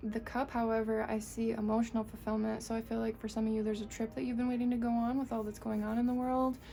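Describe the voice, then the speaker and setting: A woman with an American accent, fairly high-pitched, very fast and flat in a monotone, amid noticeable background noise. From US Northeast. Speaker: tarot reader. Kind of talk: tarot reading to camera.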